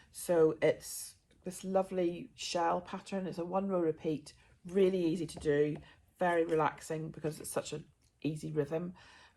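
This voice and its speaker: A woman's fairly low, dark and mellow voice holds a monotone, flat intonation while its loudness swings widely. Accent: southern English. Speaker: crafting podcaster. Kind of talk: casual chat. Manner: fast; hesitant fillers.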